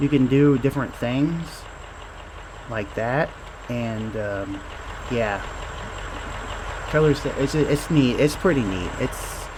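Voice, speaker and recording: A man of medium pitch talks at a very slow pace with long, frequent pauses. His pitch varies in an ordinary way, and there is noticeable background noise. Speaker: indie game developer. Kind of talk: casual gameplay talk. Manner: mumbling; halting.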